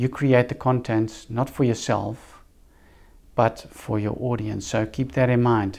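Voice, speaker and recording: A man with a Dutch accent talks at a fairly slow pace in a monotone, flat intonation. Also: medium pitch for a man. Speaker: podcast host, business coach, former pastor. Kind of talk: solo monologue podcast. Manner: hesitant, many filler words.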